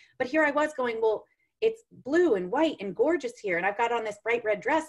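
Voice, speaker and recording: A woman at a very fast pace with very wide pitch swings. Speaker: sales coach, former math teacher. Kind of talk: casual interview chat. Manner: loud.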